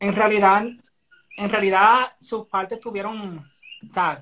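A man uses a raised, projected voice with a high pitch. His pace is very slow. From Puerto Rico, Barranquitas. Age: 20s. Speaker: dancer and dance teacher. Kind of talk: casual chat.

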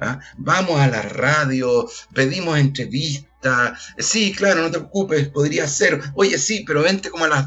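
A man with a fairly high pitch and ordinary pitch variation talks at a fairly slow pace with hardly any pauses. Noticeable background noise can be heard. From Chile, Puente Alto (Santiago). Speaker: actor and theatre director. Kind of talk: casual chat.

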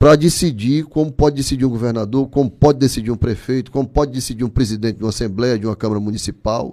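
Speaking at a very fast pace, a man's voice has a dark, mellow tone on a very clean recording with a silent background. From Ceará, Brazil (Barro, interior). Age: 60s. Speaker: business owner and trade association leader. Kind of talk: casual interview.

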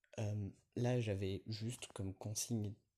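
Somewhat breathy and dark, mellow in tone, a man speaks at a fairly low pitch with monotone, flat intonation. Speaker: podcaster. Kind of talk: solo monologue. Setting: outdoors, walking in a city. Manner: hesitant, many fillers.

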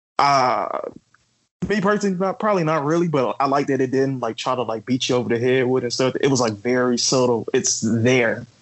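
An ordinary speaking voice moves at a fairly quick pace with lively intonation and very even loudness. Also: man, medium pitch for a man. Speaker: podcast co-host. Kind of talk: casual chat.

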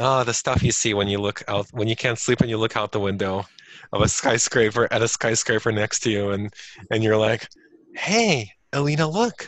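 A man talks at a moderate pace in a normal speaking voice. His pitch is medium, and his intonation is fairly even. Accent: American. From Ukraine (Kharkov), then US from age 9. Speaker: tech professional. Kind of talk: casual chat.

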